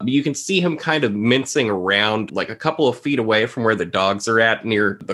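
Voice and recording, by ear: The clip is reading aloud in a natural voice.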